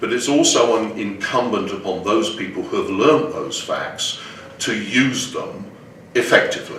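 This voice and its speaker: Noticeable background noise runs under this recording. A man speaks with audible room echo. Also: moderate pace. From England. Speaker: Islamic finance educator and executive. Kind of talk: interview. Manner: hesitant, with repetitions.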